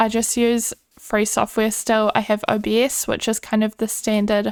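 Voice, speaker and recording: The speaker has a New Zealand accent and a relaxed tone. The sound is dry and close, with no echo. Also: woman. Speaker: gaming YouTuber. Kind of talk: casual gameplay commentary. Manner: relaxed, chatty.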